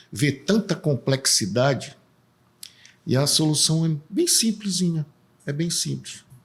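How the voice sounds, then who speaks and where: A man is speaking. His intonation is lively. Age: 60s. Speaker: political candidate, civil engineer. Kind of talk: casual interview.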